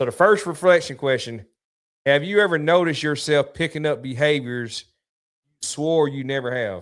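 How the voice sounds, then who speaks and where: The recording is very clean and the background silent. The man's pitch varies in an ordinary way. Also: fairly high pitch for a man. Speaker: podcast host. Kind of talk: casual chat. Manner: fast.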